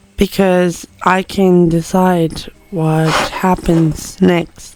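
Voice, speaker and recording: Noticeable background noise runs behind a woman's fairly low voice. She speaks very slowly with monotone, flat intonation. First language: not English. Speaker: writing vlogger. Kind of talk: reflective vlog talk. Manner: halting.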